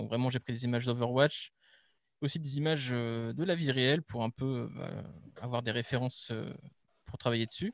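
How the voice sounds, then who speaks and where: A man talks with fairly even intonation and long, frequent pauses. The background is quiet, and the sound is dry with no echo. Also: moderate pace. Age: 20s. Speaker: game art student. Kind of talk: project presentation. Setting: online live stream. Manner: hesitant, many fillers. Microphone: video call.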